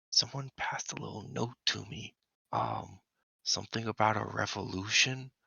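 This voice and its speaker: Using a put-on character voice, a man whispers quietly and raspily at a moderate pace, with big swings in loudness. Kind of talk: conspiratorial, playful. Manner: quiet whisper, hushed.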